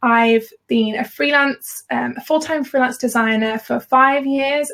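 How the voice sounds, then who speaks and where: A woman talks at a very slow pace in a Birmingham accent. Her intonation is fairly even. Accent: Birmingham (Brummie). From Birmingham, England. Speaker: freelance designer and business educator. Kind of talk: live webinar hosting. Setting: live video call webinar.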